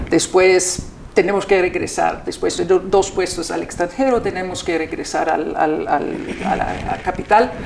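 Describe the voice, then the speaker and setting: Noticeable background noise sits behind a woman's voice. She talks at medium pitch with fairly even intonation. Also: fairly slow pace. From Austria. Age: 60s. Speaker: ambassador. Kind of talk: interview. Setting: embassy. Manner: halting.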